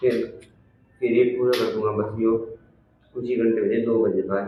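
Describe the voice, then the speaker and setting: A man speaks at a medium pitch, somewhat breathy, with monotone, flat intonation. Audible room echo surrounds his voice. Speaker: YouTuber doing challenge videos. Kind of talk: vlog, casual chat.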